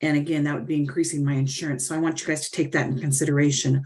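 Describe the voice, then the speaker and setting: A woman with an American accent and a very deep, low pitch talks at a very fast pace. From US West (Lincoln, California). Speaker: resident giving public comment. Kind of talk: public comment at a council meeting.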